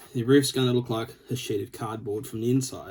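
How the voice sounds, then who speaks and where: With an Australian accent, a man speaks at a fairly quick pace and medium pitch, somewhat breathy, in a dark, mellow tone with fairly even intonation. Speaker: scale model builder. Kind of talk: tutorial. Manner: casual, with filler words.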